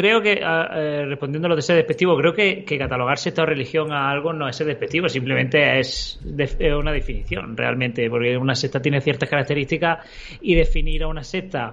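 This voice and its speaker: With noticeable background noise, a man talks at a fairly quick pace with hardly any pauses, using a fairly high pitch and ordinary pitch variation. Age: 30s. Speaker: ex-Jehovah's Witness, religion commentator. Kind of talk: live-streamed debate podcast. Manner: halting.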